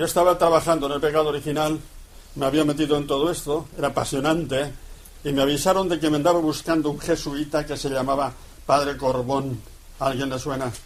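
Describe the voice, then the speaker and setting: Audible room echo surrounds a man speaking at a fairly quick pace and a fairly high pitch. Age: 80s+. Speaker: priest. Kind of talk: lecture. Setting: radio broadcast. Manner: animated.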